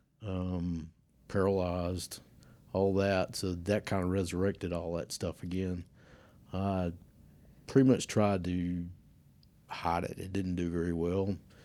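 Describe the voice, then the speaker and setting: Speaking in a Southern US accent, a man with a very deep, low pitch and a dark, mellow tone talks at a fairly slow pace in a monotone, flat intonation, with long, frequent pauses, on a very clean recording with a silent background. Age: 60s. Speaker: church member. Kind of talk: testimony.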